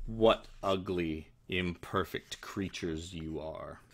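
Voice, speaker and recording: A man uses a put-on character voice, very deep and low in pitch, speaking very slowly with fairly even intonation. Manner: scornful, echoing.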